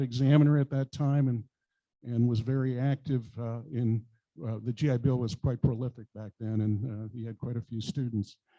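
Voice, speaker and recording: Speaking with an American accent, a man has a dark, mellow tone. The sound is dry and close, with no echo. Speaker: aviation business owner, club speaker. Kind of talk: club talk with slides. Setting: meeting with audience. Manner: halting, many fillers.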